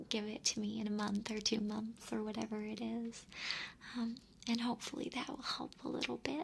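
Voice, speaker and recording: A soft-spoken woman's whispering voice. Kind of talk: ASMR advice talk to camera. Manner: whispered, soft-spoken.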